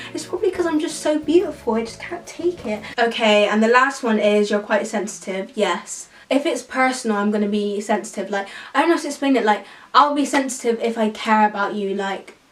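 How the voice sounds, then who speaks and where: A woman talks at a fairly quick pace and a fairly high pitch with lively intonation. Noticeable background noise is present. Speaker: YouTuber. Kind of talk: casual chat. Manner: animated.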